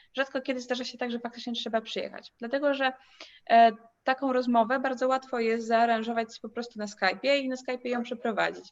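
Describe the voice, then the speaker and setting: A woman with a Polish accent talks very fast at a high pitch with fairly even intonation. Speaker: education agency host. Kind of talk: live Q&A moderation.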